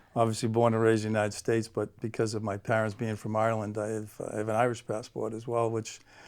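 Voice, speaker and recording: A man speaks with a Boston accent at a medium pitch. His pace is very fast. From Boston area, Massachusetts (South Shore). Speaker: guest, school district staff. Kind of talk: interview.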